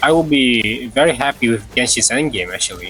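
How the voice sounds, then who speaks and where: A man of medium pitch at a moderate pace, with music in the background. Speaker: gaming streamer. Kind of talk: casual livestream chat. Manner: casual, halting with repeats.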